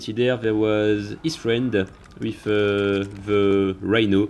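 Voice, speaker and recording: Here a man talks in a French accent. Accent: French accent, typical. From France. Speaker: gaming youtuber. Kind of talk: gameplay commentary narration.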